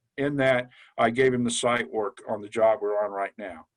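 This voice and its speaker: A man with a medium-pitched voice talks at a moderate speed, his pitch varying in an ordinary way. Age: 60s. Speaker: construction superintendent. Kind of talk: podcast interview. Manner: animated.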